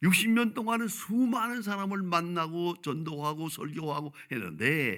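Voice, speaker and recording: On a very clean recording with a silent background, a man speaks in a high pitch with a bright, sharp tone and very wide pitch swings. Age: 80s+. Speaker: pastor. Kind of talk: sermon.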